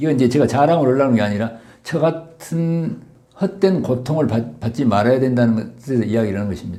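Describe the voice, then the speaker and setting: Very fast and lively in intonation, a man delivers his words at medium pitch. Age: 70s. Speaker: doctor and author. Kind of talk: interview testimony.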